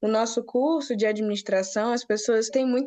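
In a normal speaking voice, a woman with fairly high pitch talks at a moderate pace with ordinary pitch variation. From Brazil, Rio de Janeiro, grew up moving (Natal, Brasília). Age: 20s. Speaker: business analyst, recent graduate. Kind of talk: casual interview.

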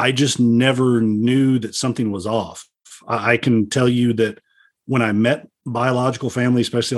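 This man has a Texan accent and a medium pitch. He speaks at a moderate pace. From Texas, Dallas. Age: 50s. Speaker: police officer. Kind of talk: interview guest, personal story; reading aloud.

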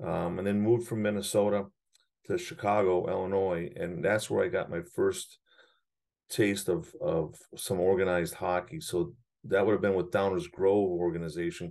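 A man with an American accent has an ordinary speaking voice at a fairly low pitch. He keeps a moderate pace and ordinary pitch variation. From US Midwest. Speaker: hockey coach and player development director. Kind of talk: interview.

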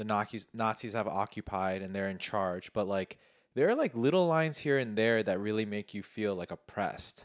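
With an American accent and an unremarkable speaking voice, a man speaks at a moderate pace in a fairly low pitch with ordinary pitch variation, on a very clean recording with a silent background and a dry, close sound with no echo. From US, Korean American. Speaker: podcast host. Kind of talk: casual chat.

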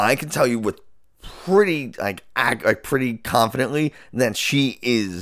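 Over a silent background in a very clean recording, a man talks at a fairly slow pace with vocal fry. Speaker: neuroscientist, podcast co-host. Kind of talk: casual chat. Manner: loud.

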